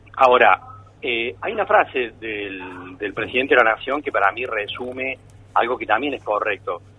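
A man keeps to a moderate pace. Noticeable background noise can be heard throughout. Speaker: economist. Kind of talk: radio interview.

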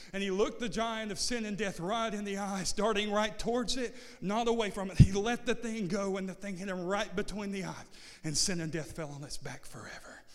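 A man with a high voice talks fairly quickly in an animated tone, with ordinary pitch variation. Noticeable background noise sits behind him. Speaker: preacher. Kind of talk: sermon. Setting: church with congregation. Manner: animated, call-and-response, building to a shouted climax; repetitive, rhythmic, rising in intensity.

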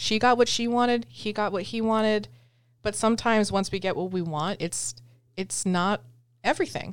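In a very clean recording with a silent background, a woman speaks in a plain, everyday voice at a moderate pace, with medium pitch and ordinary pitch variation. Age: 20s. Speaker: podcast co-host. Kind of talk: casual chat.

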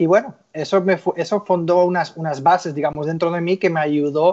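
Man's high-pitched voice, fairly even intonation, moderate pace. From Spain, Barcelona. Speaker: sales executive, former footballer. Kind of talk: interview. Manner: halting.

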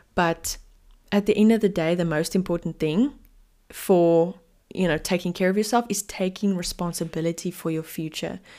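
On a very clean recording with a silent background, a woman speaks in a dark, mellow tone at a fairly low pitch. Her pace is moderate and her intonation fairly even. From South Africa, Cape Town. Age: 20s. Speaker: podcast host. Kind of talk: casual chat.

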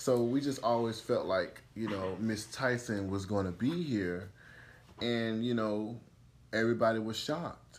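A man talks at a fairly slow pace in a medium pitch. He has an ordinary speaking voice with ordinary pitch variation. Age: 20s. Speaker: podcast host. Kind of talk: casual chat.

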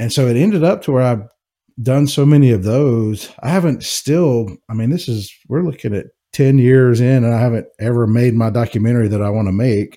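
In a plain, everyday voice, a man speaks at a fairly quick pace with medium pitch and ordinary pitch variation. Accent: American. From US South, Jackson, Mississippi. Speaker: whiskey filmmaker. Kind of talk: casual interview.

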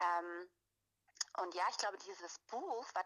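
A woman speaks at a fairly slow pace. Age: 30s. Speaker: anthropologist, women's circle leader. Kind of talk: casual interview chat. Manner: hesitant, many fillers.

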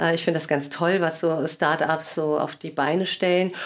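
Here is a woman with a normal speaking voice and a fairly low pitch. She keeps a moderate pace. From Germany, Cologne. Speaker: lawyer and sales trainer, podcast host. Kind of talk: casual interview chat.

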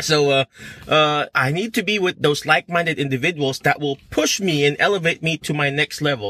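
This man's voice is high-pitched, with a bright, sharp tone. The recording is very clean, with a silent background. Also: dry, close sound with no echo. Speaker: physical therapist and career coach. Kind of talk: motivational livestream talk. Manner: animated; halting.

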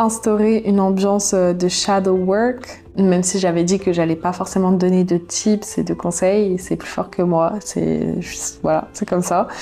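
Over noticeable background noise, the speech runs at a fairly slow pace with hardly any pauses and fairly even intonation. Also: woman, medium pitch for a woman. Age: 20s. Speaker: YouTuber and podcaster. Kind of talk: personal diary monologue. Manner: casual, conversational.

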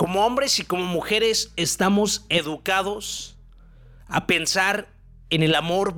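At a fairly slow pace, a man speaks in a high, bright, sharp voice with ordinary pitch variation. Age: 20s. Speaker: motivational podcaster. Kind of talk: motivational monologue.

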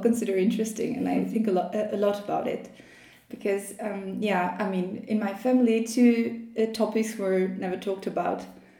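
A woman speaks at a moderate pace with fairly even intonation. Noticeable background noise and audible room echo surround her. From Albania. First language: Albanian. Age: 20s. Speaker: PhD student in Islamic studies. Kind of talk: interview conversation.

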